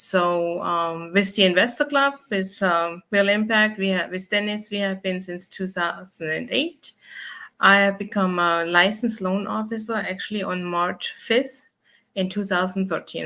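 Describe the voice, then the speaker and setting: In a German accent, a woman speaks at medium pitch and a moderate pace with a bright, sharp tone. Her pitch varies in an ordinary way against a quiet background. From Germany. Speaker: mortgage loan officer. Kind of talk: interview bio.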